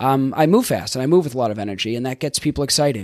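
In a Boston accent, a man at a medium pitch sounds enthusiastic. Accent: Boston, Northeast US. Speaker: life coach and podcast host. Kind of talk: solo podcast monologue, coaching talk. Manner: fast talker; casual, enthusiastic, with filler words.

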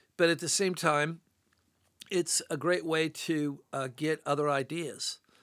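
Recorded very cleanly against a silent background, with a dry, close sound and no echo, a man with a plain, everyday voice speaks at a fairly high pitch with ordinary pitch variation. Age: 60s. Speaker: sculptor. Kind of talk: casual chat. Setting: studio.

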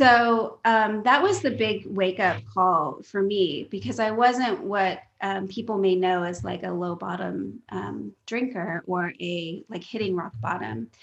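Talking at a fairly slow pace, a woman with an American accent uses lively intonation and vocal fry. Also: medium pitch for a woman. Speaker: sobriety coach. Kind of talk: casual interview.

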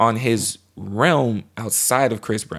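A man speaks at a medium pitch in an unremarkable speaking voice, with ordinary pitch variation. The recording is very clean, with a silent background. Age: 20s. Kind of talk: casual chat.

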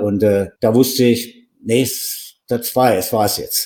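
A dark, mellow tone with fairly even intonation. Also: man. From western Germany, Wuppertal. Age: 60s. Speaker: extreme endurance athlete. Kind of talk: interview.

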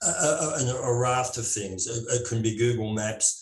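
A man talks at a medium pitch with an Australian accent. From Australia, Melbourne. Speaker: landscape photographer. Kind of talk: casual interview.

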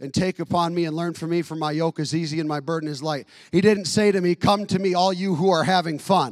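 A man talks at a very fast pace with hardly any pauses. His high-pitched voice carries an animated tone. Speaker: pastor. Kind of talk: sermon; rousing church sermon, conversational and punchy with jokes. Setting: church. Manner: animated, impassioned exhortation with repetition and direct appeals; folksy and casual, slangy asides.

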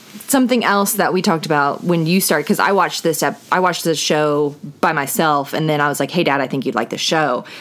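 Over noticeable background noise, a woman with a very deep, low voice talks at a very fast pace with hardly any pauses, lively intonation and very even loudness. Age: 20s. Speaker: podcast co-host, daughter. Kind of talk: casual chat.

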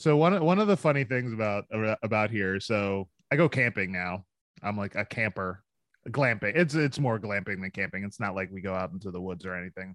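Speaking with a Philadelphia accent, a man goes at a fairly quick pace. His fairly low voice has lively intonation. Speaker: entrepreneur, hot sauce maker. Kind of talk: casual chat.

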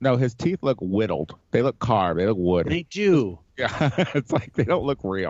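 Speaking with an American accent at a moderate pace, a man keeps his loudness very even while his medium pitch makes very wide swings. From Chicago. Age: 30s. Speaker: podcast host. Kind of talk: casual chat.

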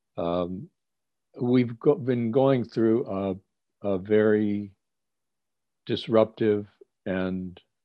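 Very slowly, a man with an American accent speaks at a fairly low pitch with fairly even intonation. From Cleveland, Ohio, US Midwest. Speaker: rabbi. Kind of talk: interview.

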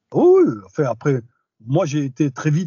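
This man's voice is somewhat breathy. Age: 40s. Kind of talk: interview testimony. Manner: hesitant, many fillers.

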